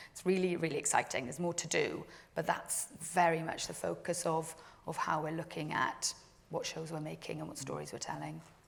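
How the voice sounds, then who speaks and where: A woman with a strong Welsh accent speaks at a fairly quick pace with big swings in loudness. Noticeable background noise is present. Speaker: TV drama commissioner. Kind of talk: panel discussion.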